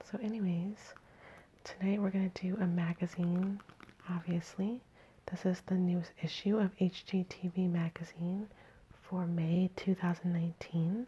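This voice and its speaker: A soft-spoken woman with a dark, mellow, somewhat breathy tone talks at a medium pitch and a moderate pace. Her intonation is monotone and flat, her loudness very even, and she takes long, frequent pauses. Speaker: ASMR creator. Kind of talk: ASMR magazine reading. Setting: at home.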